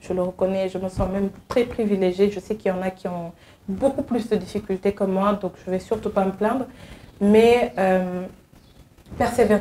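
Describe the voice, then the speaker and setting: A woman speaks at a moderate pace with a medium pitch. Her tone is dark and mellow, with fairly even intonation. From Senegal. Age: young. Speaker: advocacy agency worker, returnee from abroad. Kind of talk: interview.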